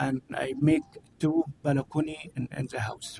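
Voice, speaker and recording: In a dry, close recording with no echo, a man with a fairly high, somewhat breathy voice speaks very slowly. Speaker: member of public giving comment. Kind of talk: public comment. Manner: halting.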